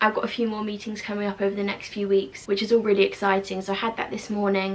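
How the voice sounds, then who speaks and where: Against noticeable background noise, a woman speaks very fast in a monotone, flat intonation at a medium pitch. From UK. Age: 20s. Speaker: university student. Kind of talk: casual vlog talk to camera.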